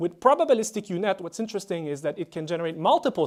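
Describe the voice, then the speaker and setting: Racing at a very fast pace, a man with a high pitch makes very wide pitch swings. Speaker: professor. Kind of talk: lecture.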